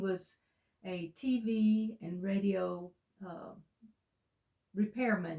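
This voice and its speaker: Speaking with an Alabama accent, a woman has a medium pitch and a dark, mellow tone that sounds somewhat breathy. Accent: Southern US (Alabama). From US South, Alabama (Walker County). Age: 60s. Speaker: co-host. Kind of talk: interview, casual conversation.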